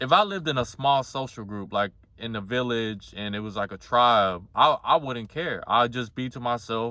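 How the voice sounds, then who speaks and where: Someone speaks in a normal speaking voice at a moderate pace with ordinary pitch variation. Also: man. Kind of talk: casual talk to camera.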